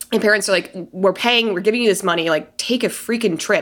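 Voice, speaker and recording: A woman with an American accent uses a normal speaking voice, fairly high in pitch, with ordinary pitch variation. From Colorado, US. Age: 30s. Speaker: podcaster. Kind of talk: casual chat.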